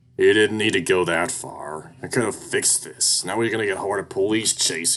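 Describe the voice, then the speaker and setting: Growling, a put-on character voice runs at a moderate pace. It leaves hardly any pauses. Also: man, fairly low pitch for a man. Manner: growling, frustrated.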